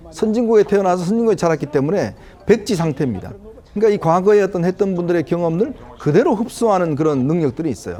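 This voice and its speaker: This man talks very fast in a high pitch with lively intonation, and noticeable background noise runs underneath. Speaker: political commentator. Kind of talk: TV panel commentary.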